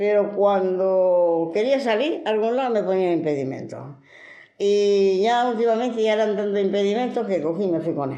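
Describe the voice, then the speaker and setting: A woman talks at a moderate pace. Noticeable background noise is present. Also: medium pitch for a woman, lively intonation. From Granada, Spain. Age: 70s. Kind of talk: interview answer.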